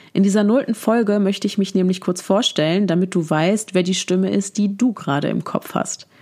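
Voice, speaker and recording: Against noticeable background noise, a woman at a medium pitch speaks at a fairly quick pace with ordinary pitch variation. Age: 20s. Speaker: podcast host, psychology student. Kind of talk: solo podcast introduction. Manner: casual, direct address to listener.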